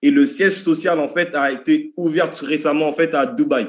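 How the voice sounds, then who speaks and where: Here a man with a high pitch talks at a moderate pace with lively intonation. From French Antilles. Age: 30s. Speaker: network marketing presenter. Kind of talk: sales pitch. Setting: video call. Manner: animated.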